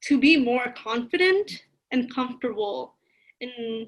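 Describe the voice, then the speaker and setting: In a Spanish accent, a woman speaks very slowly with a high, bright, sharp voice and lively intonation. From East Los Angeles, US. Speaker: college advisor. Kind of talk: podcast interview.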